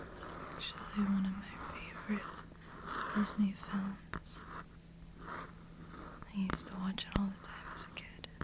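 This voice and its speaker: The voice is whispering at a fairly slow pace. Noticeable background noise is present. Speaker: ASMR reader. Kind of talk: casual talk to camera. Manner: whispered, soft-spoken.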